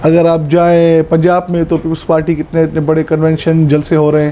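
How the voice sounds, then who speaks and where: At a moderate pace, a man with a fairly high pitch speaks over noticeable background noise. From Pakistan, Sindh (Tharparkar). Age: 20s. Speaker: politician. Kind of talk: interview.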